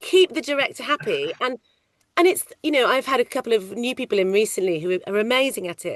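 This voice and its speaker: A loud, high female voice racing at a very fast pace, pitch swinging very widely, in a dry, close sound with no echo. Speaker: ADR loop group casting coordinator. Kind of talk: interview.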